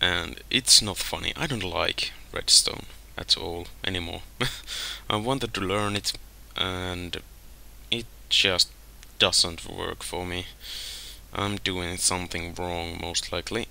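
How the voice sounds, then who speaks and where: A man with a very deep, low pitch, a very slow pace, ordinary pitch variation and long, frequent pauses. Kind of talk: gameplay commentary. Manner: calm.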